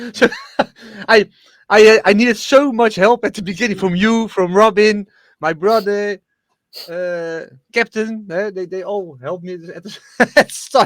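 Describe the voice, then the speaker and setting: A man with a high pitch speaks at a moderate pace with long, frequent pauses, in a dry, close sound with no echo on a very clean recording with a silent background. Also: ordinary pitch variation, big swings in loudness. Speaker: streamer and dock machine operator. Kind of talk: casual chat. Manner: halting, repeats words.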